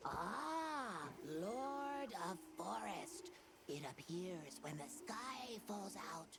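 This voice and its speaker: A put-on character voice, fairly high in pitch, at a very slow pace over loud background noise. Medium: video game. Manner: quaint broken phrasing.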